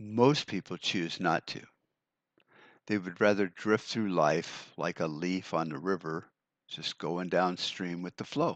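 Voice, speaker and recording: A man with an American accent speaks at a fairly slow pace in a very deep, low voice with ordinary pitch variation, in a dry, close sound with no echo and a quiet background. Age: 60s. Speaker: podcaster on prepping and survival. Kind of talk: solo podcast monologue. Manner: casual, with fillers and repetitions.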